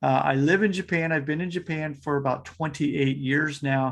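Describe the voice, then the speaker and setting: A man's plain, everyday voice, fairly high, with an American accent and ordinary pitch variation. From United States. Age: 40s. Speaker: fitness coach. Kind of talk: podcast interview.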